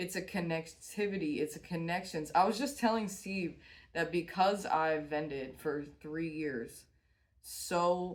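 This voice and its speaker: A woman's voice, an ordinary speaking voice, with ordinary pitch variation. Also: fairly low pitch for a woman, fairly slow pace. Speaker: tarot reader and small business owner. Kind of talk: tarot reading monologue. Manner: casual, with frequent fillers.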